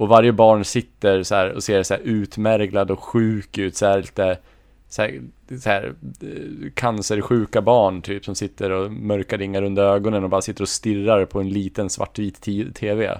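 A man speaks in an ordinary speaking voice, fairly low in pitch, with fairly even intonation at a moderate pace. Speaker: podcast co-host. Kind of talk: casual chat.

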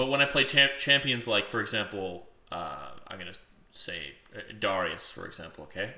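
Bright and sharp in tone, a man's fairly high voice carries vocal fry at a moderate pace. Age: 20s. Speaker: podcast co-host. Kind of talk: casual chat.

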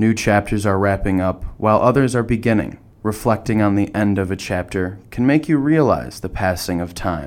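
A man with an unremarkable speaking voice talks in a fairly low pitch. His pace is moderate and his intonation lively. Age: 20s. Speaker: podcast host, college student. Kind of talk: scripted narration.

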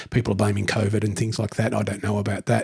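A somewhat breathy man with an Australian accent. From Newcastle, New South Wales, Australia. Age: 50s. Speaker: council ranger. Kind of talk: casual interview.

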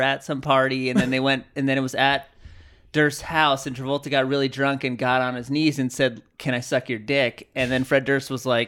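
A man's unremarkable speaking voice with an American accent, fairly high in pitch, at a moderate pace, on a very clean recording with a silent background. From San Diego, California. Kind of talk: casual chat. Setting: studio.

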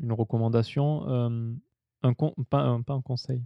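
In a normal speaking voice, a man talks at a fairly slow pace and a medium pitch. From southern France. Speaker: podcast host. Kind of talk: interview. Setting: drinking sake during recording.

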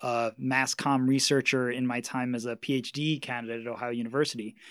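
In a New York accent, a man talks at a fairly quick pace with fairly even intonation, recorded very cleanly against a silent background. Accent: New York American. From Queens, New York. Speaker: author and media researcher. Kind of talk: interview.

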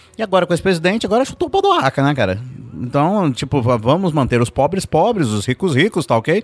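A man speaks very fast at a fairly high pitch, his pitch swinging very widely while his loudness stays very even. The sound is dry and close, with no echo. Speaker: pastor. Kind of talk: casual chat. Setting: studio.

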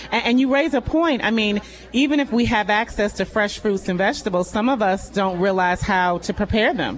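Here is a woman with a normal speaking voice and fairly high pitch. She moves at a fairly quick pace with lively intonation. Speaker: public health official. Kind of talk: interview. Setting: live event with audience.

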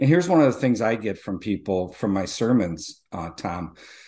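A man with an unremarkable speaking voice talks in a fairly low pitch with lively intonation. The background is quiet. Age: 40s. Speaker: pastor. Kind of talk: casual chat.

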